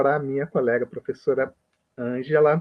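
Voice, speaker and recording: A man's medium-pitched voice comes through as he talks fairly slowly. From Brazil. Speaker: health professor. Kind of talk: lecture.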